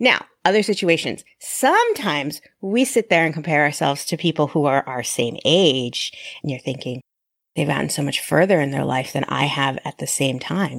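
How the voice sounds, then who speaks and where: This woman has a very deep, low pitch. Her intonation is lively. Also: moderate pace. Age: 40s. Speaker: podcast host. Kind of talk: solo podcast monologue. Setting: recorded in an online group session.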